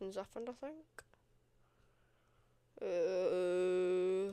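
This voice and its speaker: A woman with a British accent speaks very slowly in a dark, mellow tone, her medium pitch moving with ordinary variation. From Britain. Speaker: streamer. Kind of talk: casual chat. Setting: livestream.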